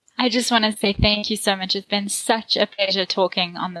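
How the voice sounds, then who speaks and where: Fairly quick and fairly even in intonation, a woman talks in a South African accent at a medium pitch. The sound is dry and close, with no echo. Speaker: marketing consultant. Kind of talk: podcast interview.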